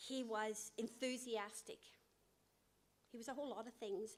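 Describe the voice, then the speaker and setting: In an Irish accent, a woman talks at a fairly slow pace with a fairly high pitch. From Northern Ireland. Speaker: guest preacher. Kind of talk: sermon. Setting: church. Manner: hesitant, with fillers.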